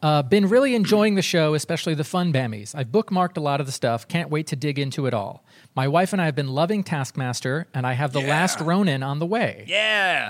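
The speaker has an ordinary speaking voice with lively intonation. The pace is fairly quick. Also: man, very clean recording, silent background. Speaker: podcast co-host. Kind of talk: casual chat. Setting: studio.

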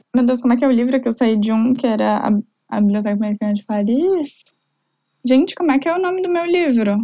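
A woman talks at a very fast pace, her high voice full of lively intonation. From southern Brazil, Florianópolis. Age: 20s. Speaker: entrepreneur. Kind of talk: casual interview chat.

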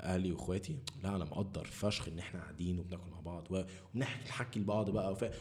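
Very deep and low in pitch, a man talks at a fairly quick pace with hardly any pauses. His pitch varies in an ordinary way, and there is audible room echo. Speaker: podcast host. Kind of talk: casual chat.

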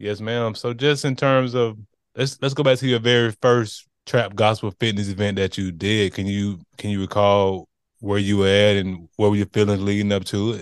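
An ordinary speaking voice at a moderate pace, fairly even in intonation, against a quiet background. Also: man, fairly low pitch for a man. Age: 30s. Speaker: podcast host. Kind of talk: casual interview.

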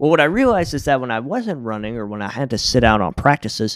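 A man with a Southern US accent speaks at a moderate pace on a very clean recording with a silent background. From US South, Jackson, Tennessee. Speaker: podcast co-host telling his life story. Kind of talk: personal life story in casual chat.

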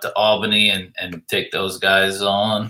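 The man's fairly low voice stays monotone and flat in its intonation. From Pennsylvania. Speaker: podcast host. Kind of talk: casual interview.

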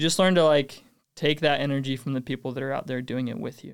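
A man with a Utah accent, medium in pitch, at a very fast pace, in a very clean recording with a silent background. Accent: American (Utah). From Utah, North Ogden. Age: 20s. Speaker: door-to-door sales rep. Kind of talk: podcast interview.

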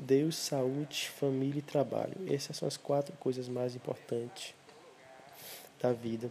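Against noticeable background noise, a man at medium pitch talks with fairly even intonation and long, frequent pauses. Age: 20s. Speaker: podcaster. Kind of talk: solo reflective monologue. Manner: hesitant, repeats words.

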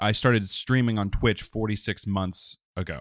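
A man's fairly low voice, a plain, everyday voice, at a moderate pace, with a dry, close sound with no echo and a very clean recording over a silent background. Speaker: podcast host. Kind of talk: casual banter podcast chat.

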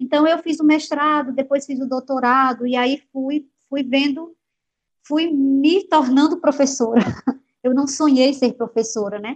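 Fairly even intonation carries speech that moves at a fairly slow pace. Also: woman, high pitch for a woman. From Paraíba, Brazil (rural Cariri). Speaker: university professor. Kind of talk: interview testimony. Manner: halting, many repetitions.

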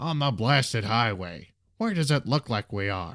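Shouting in a put-on character voice, a man delivers fairly bright, fairly low-pitched lines at a fairly slow pace with big pitch swings.

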